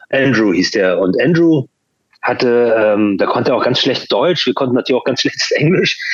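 A man with a plain, everyday voice talks at a moderate pace and medium pitch. His intonation is lively and his loudness stays very even. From Hamburg, Germany (born in Chile). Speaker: punk musician. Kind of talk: interview conversation.

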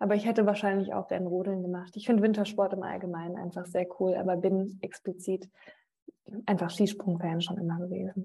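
Her medium-pitched voice is dark, mellow and somewhat breathy. The woman moves at a fairly quick pace with monotone, flat intonation. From Mainz area, Rhineland-Palatinate, moved often. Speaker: sports TV presenter. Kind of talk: interview.

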